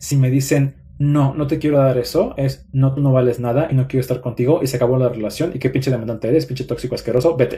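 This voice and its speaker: Talking at a very fast pace with hardly any pauses, a man with medium pitch has a dark, mellow, somewhat breathy tone and fairly even intonation. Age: 30s. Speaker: psychologist and relationship content creator. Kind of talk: live stream talk.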